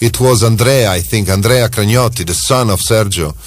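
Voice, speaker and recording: Music plays behind a man whose voice carries audible room echo. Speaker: radio host. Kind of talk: radio phone-in chat.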